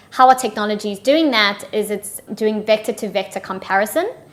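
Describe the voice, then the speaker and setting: A woman with a South African accent talks at a moderate pace. Her voice is fairly high, with ordinary pitch variation. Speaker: partnerships manager. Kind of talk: interview.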